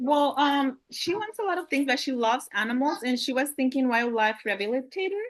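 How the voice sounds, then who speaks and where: A woman with a Spanish accent talks fairly quickly with hardly any pauses, her high voice full of lively intonation. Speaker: homeschooling parent. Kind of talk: Q&A question on a video call.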